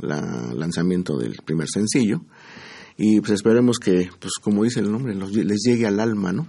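Against a quiet background, a man speaks with a dark, mellow tone at a fairly low pitch. His pace is moderate and his pitch varies an ordinary amount. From Mexico. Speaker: musician. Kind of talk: interview.

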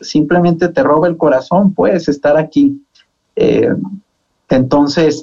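Delivered at a fairly slow pace, it is a normal speaking voice. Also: man. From Mexico, Zacatecas. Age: 20s. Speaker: senate political adviser. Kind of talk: radio panel discussion.

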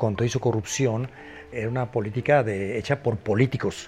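Through noticeable background noise comes a man's voice at a medium pitch. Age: old. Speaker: photographer. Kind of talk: interview. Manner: halting.

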